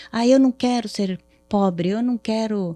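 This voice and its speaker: In a southern Brazilian accent, a woman speaks at a fairly slow pace with a dark, mellow tone and ordinary pitch variation. The recording is very clean with a silent background and a dry, close sound with no echo. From southern Brazil, Paraná. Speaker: therapist. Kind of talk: podcast interview.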